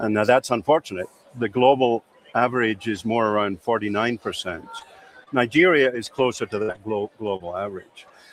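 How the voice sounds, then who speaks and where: A man's medium-pitched voice, with ordinary pitch variation, comes at a moderate pace against noticeable background noise. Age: 60s. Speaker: cybersecurity expert. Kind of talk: interview. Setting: exhibition floor. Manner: halting.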